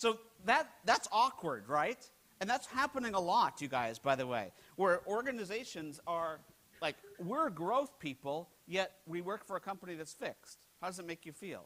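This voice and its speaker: A man with an American accent speaks at a moderate pace in a high, bright, sharp voice with an animated tone. His pitch swings very widely and his loudness shifts in big swings. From United States. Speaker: keynote speaker, HR technology analyst. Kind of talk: conference keynote presentation. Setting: stage with audience. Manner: animated, humorous, interactive. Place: hall.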